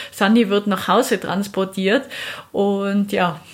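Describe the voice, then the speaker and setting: A woman speaks at a medium pitch and a very slow pace. Her intonation is monotone and flat, and her voice is somewhat breathy. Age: 30s. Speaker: moped traveller. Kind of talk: interview.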